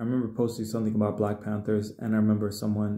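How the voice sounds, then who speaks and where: A man's fairly low, dark and mellow voice in flat, monotone intonation, with audible room echo against a quiet background. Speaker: spiritual healer and musician; video blogger. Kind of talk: solo livestream monologue. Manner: casual, hesitant with fillers. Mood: earnest, emotionally raw. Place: home room. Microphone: phone near.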